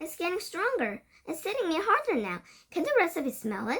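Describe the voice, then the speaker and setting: Squeaky and shrill, a woman's put-on character voice climbs to an extremely high pitch, swinging very widely at a fairly quick pace. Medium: read story. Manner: shrill, urgent.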